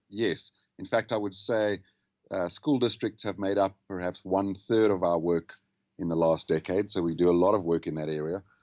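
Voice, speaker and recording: A man speaks with a South African accent and a very deep, low pitch. The sound is dry and close, with no echo. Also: ordinary pitch variation, moderate pace, quiet background. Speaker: habits and wellness consultant. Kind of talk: podcast interview. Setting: Skype call.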